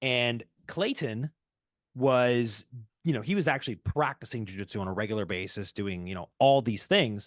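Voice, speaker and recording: An ordinary speaking voice from a man at a medium pitch and moderate pace, with a quiet background and a dry, close sound with no echo. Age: 20s. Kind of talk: casual interview answer.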